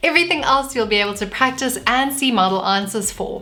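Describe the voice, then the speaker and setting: Noticeable background noise sits behind a woman with a South African accent. She speaks at a fairly quick pace with a fairly high pitch and ordinary pitch variation. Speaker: vlogger. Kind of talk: tutorial.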